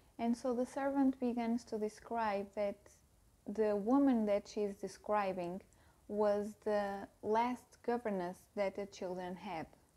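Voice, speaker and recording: A woman with a non-native accent has a fairly high pitch and a dark, mellow tone. She speaks at a fairly slow pace with fairly even intonation. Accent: non-native English speaker. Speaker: book youtuber. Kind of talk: casual book review to camera. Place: home room. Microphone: lapel.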